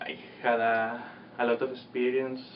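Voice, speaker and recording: A man speaks in a room with audible echo, and noticeable background noise is present. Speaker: exchange student. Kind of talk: interview testimonial.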